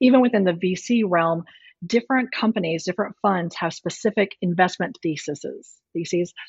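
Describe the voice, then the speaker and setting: A woman with an American accent speaks at a medium pitch, her voice somewhat breathy. She keeps a moderate pace with ordinary pitch variation. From Texas Panhandle. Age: 40s. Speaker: venture capital investor. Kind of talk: interview.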